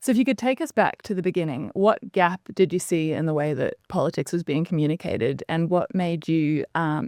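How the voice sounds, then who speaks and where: Recorded very cleanly against a silent background, the voice has an Australian accent, a moderate pace, and a dry, close sound with no echo. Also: woman. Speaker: student podcast host. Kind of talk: interview.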